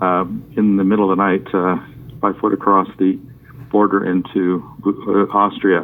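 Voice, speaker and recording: Man with a Canadian accent, fairly low pitch, fairly even intonation, moderate pace, noticeable background noise. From Canada (Toronto area), born in Hungary. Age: 60s. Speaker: author. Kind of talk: interview.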